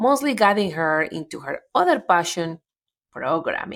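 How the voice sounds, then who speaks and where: A woman with a Colombian accent speaks at a medium pitch and a moderate pace. Her intonation is lively, in a very clean recording with a silent background. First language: Spanish. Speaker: podcast host. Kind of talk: interview.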